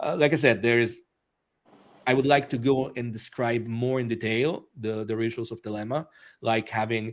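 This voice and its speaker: On a very clean recording with a silent background, a man speaks with an Italian accent. His pitch is medium, with ordinary pitch variation. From Italy, Rome. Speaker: author and magician. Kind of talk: interview. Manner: hesitant, many fillers.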